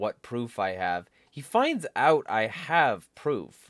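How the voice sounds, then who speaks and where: The speaker is a man against a quiet background. The sound is dry with no echo. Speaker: political vlogger. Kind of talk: casual vlog commentary rant. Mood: irritated, complaining. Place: home room. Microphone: studio mic.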